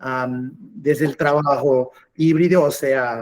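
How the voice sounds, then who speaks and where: A man with a Portuguese accent and a fairly high pitch, with fairly even intonation. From Portugal. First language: Portuguese (speaking Spanish). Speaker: cloud customer engineer. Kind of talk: webinar presentation. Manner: hesitant, with fillers.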